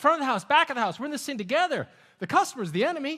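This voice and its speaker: An animated man in a raised, projected voice, bright and sharp in tone, with very wide pitch swings on a very clean recording with a silent background. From Netherlands. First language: Dutch. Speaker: keynote speaker. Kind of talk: keynote speech.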